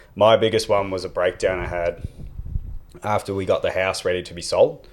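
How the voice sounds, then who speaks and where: Talking at a fairly quick pace in an Australian accent, a man's loudness swings widely. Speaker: mental health advocate. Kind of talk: casual chat.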